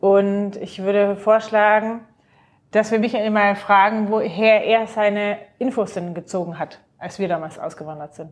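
Speaking fairly slowly in a normal speaking voice, a woman holds a medium pitch with fairly even intonation but big swings in loudness. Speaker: podcast host. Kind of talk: casual chat.

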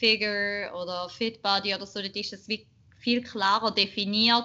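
A woman talks at a medium pitch and a fairly slow pace. Her intonation is monotone and flat. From Switzerland, Schaffhausen. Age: 20s. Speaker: bikini fitness athlete and marketing manager. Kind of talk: casual chat.

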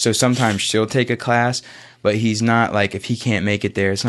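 Against a quiet background, a man with an American accent and an unremarkable speaking voice talks at a moderate pace and fairly low pitch with fairly even intonation. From US South, Florida Panhandle (Pace, Pensacola). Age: 20s. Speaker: MMA fighter. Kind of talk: casual chat. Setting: studio.

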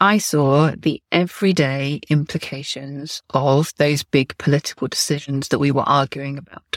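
A woman's very deep, low voice with a British accent, fairly even intonation and hardly any pauses, dry and close with no echo. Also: moderate pace. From England. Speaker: podcast host, copywriter. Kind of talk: solo podcast monologue.

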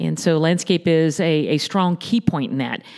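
The voice has an American accent and a moderate pace. Its pitch varies in an ordinary way. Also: woman. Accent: Southern US (Florida cracker). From Southwest Florida, Naples area. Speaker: landscaping company president. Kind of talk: interview. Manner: hesitant, many fillers.

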